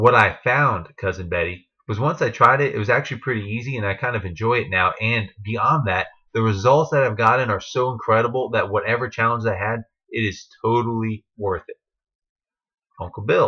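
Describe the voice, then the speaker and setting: A man at a fairly quick pace, medium in pitch, with ordinary pitch variation. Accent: American. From New Jersey. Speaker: network marketing distributor and trainer. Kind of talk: training talk to team. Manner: casual, with fillers.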